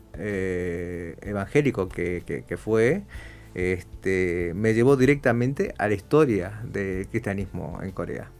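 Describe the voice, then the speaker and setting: With music in the background, a man with a very deep, low pitch speaks at a very slow pace with lively intonation. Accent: Argentine. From Argentina. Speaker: guest speaker on church history. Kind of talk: interview. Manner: halting, many fillers and repetitions.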